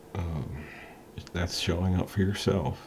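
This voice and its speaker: A man speaks in a very deep, low pitch with ordinary pitch variation. Noticeable background noise is present. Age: 40s. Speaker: motivational vlogger. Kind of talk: motivational talk to camera. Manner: casual, hesitant with frequent ums.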